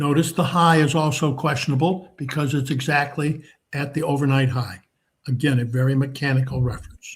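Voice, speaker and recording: A man talks at a fairly quick pace, his voice fairly high and somewhat breathy. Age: 80s+. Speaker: market trading educator. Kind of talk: live market commentary seminar. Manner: relaxed, conversational with fillers.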